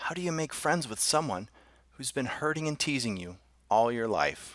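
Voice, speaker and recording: Delivered at a moderate pace, the speech comes in a put-on character voice. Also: man, medium pitch for a man. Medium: read story.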